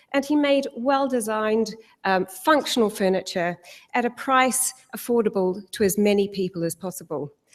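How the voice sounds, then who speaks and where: With a New Zealand accent, a woman talks at a moderate pace, her fairly high pitch moving in lively intonation. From New Zealand, South Island. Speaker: corporate sustainability head. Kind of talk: conference talk.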